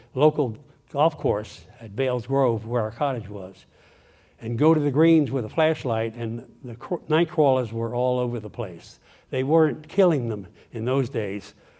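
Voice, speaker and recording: With an American accent, a man speaks at a medium pitch and moderate pace in a dark, mellow tone, showing ordinary pitch variation and big swings in loudness. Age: 80s+. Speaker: retired lawyer and engineer, guest speaker. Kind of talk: talk to a local audience. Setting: speaker event with audience.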